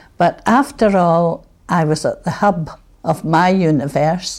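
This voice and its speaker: Music plays in the background as a woman speaks in a Scottish accent. Her pace is very slow and her pitch fairly low. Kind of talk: reminiscence interview.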